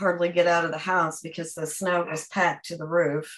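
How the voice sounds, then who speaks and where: With an American accent, a woman speaks at a moderate pace with a fairly low pitch and monotone, flat intonation. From Oklahoma. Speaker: family historian guest. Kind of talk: reading aloud.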